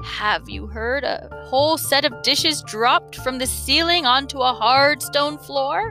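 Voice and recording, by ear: A woman's hoarse, put-on character voice at a moderate pace, with clear music in the background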